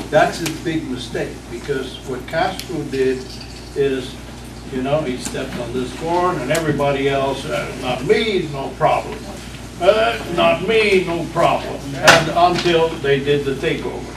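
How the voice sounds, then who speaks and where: The recording has audible room echo and noticeable background noise. A man talks at a fairly slow pace. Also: fairly high pitch for a man, ordinary pitch variation. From Cuba. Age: 60s. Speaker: audience member. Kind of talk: audience comment.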